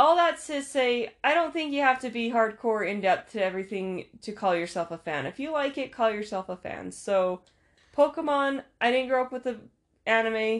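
A woman with an ordinary speaking voice and a fairly high pitch speaks at a moderate pace with lively intonation, in a very clean recording with a silent background. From Utah. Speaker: podcast host. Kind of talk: casual chat.

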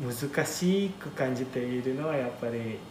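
A man with an Indonesian accent at a fairly slow pace and medium pitch, amid audible room echo and noticeable background noise. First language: Indonesian (speaking Japanese). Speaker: manga translator. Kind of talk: casual interview chat.

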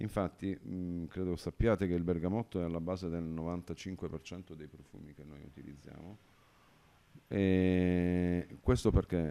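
A dark, mellow tone at a very slow pace, with fairly even intonation. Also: man, very deep, low pitch for a man. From Calabria, southern Italy. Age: 50s. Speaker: liqueur producer and entrepreneur. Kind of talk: casual interview. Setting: at the company premises in Turin.

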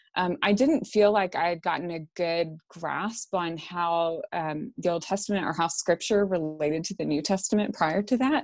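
A normal speaking voice at a moderate pace, with hardly any pauses, ordinary pitch variation and a very clean recording against a silent background. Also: woman, fairly low pitch for a woman. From Texarkana, Texas. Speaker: Bible scholar. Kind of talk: interview on theology.

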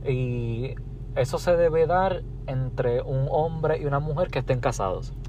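Audible room echo surrounds a man's voice. He speaks at a fairly slow pace. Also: fairly high pitch for a man, ordinary pitch variation, very even loudness. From Puerto Rico. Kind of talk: casual chat.

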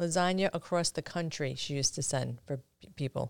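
In an American accent, a woman with an unremarkable speaking voice and a fairly low pitch talks at a moderate pace with ordinary pitch variation, the sound dry and close with no echo. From Brooklyn, New York. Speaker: author, guest. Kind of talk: casual interview. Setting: studio.

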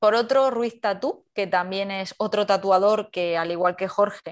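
This is a normal speaking voice at a moderate pace with ordinary pitch variation, captured in a very clean recording with a silent background. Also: woman. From Andalusia, Spain (Carmona). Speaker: youtuber and content creator. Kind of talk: casual interview.

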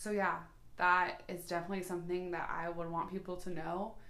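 A woman speaks loudly at a fairly low pitch, her tone bright and sharp. Her pace is moderate, with long, frequent pauses. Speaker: podcast co-host. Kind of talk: casual chat. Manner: boisterous.

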